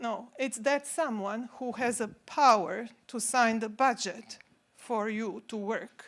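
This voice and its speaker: A high-pitched woman's voice with a Croatian accent and ordinary pitch variation. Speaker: consultant. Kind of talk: conference talk.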